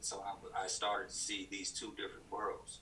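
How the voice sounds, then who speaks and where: A man with an American accent speaks at a moderate pace. Audible room echo and noticeable background noise surround him. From US South, Chattanooga, Tennessee. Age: 40s. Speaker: podcast guest. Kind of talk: casual interview conversation. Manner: halting, many fillers and restarts.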